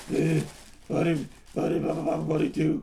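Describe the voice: A man in a put-on character voice at a fairly quick pace, with clear background noise.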